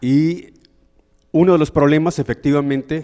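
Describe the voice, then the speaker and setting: A man speaks with a Mexican accent. His tone is dark and mellow, with ordinary pitch variation. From Mexico, Huasteca region of Hidalgo. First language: Nahuatl (speaking Spanish). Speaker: audience member asking a question. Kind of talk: audience question at a lecture.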